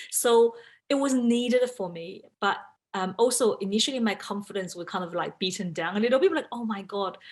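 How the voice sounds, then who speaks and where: A woman with a Chinese accent talks at a fairly quick pace, her pitch varying in an ordinary way. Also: medium pitch for a woman, big swings in loudness. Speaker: in-house lawyer. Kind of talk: panel talk.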